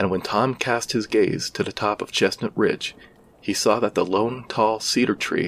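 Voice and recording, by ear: The intonation stays fairly even as the text is read aloud in a natural voice.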